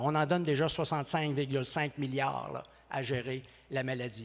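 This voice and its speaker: The delivery has an animated tone. The recording is very clean, with a silent background. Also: man. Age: 60s. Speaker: professor. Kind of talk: conference speech. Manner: fast.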